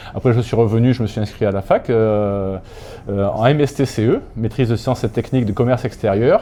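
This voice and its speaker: A man's dark, mellow voice at a medium pitch, fairly quick in pace, with fairly even intonation. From Corsica, then Aix-en-Provence from childhood. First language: Corsican (speaking French). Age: 60s. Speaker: sports club president. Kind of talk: casual interview.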